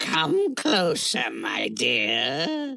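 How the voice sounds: A woman puts on a character voice at an extremely low pitch, with vocal fry and a bright, sharp tone. She speaks at a very slow pace with very wide pitch swings.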